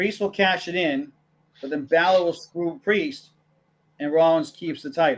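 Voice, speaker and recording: A high-pitched man with ordinary pitch variation and long, frequent pauses. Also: moderate pace. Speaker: wrestling podcast co-host. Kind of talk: casual chat.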